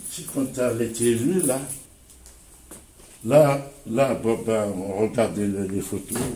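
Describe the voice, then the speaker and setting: Very slowly and with long, frequent pauses, a man speaks at a medium pitch. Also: ordinary pitch variation, big swings in loudness. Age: 70s. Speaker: community activist, association president. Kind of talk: interview answer.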